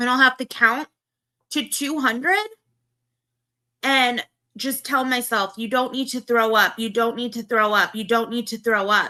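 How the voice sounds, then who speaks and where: A woman with a Valley Girl accent speaks at a high pitch and moderate pace, with fairly even intonation and long, frequent pauses. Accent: Valley Girl tone. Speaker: livestreamer. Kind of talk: casual chat.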